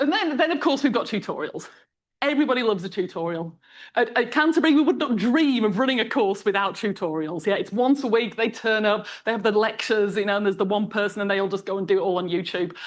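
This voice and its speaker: A woman talks at a very fast pace in a fairly high pitch. Her tone is animated and her intonation lively, against a quiet background. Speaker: mathematics lecturer. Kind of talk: conference talk. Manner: animated, conversational; halting, with repeated words.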